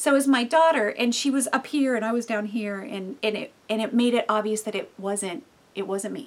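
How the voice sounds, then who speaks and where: A woman with an ordinary speaking voice talks at a fairly quick pace, fairly high in pitch, with ordinary pitch variation. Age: 50s. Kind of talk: devotional teaching monologue. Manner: casual, with many fillers.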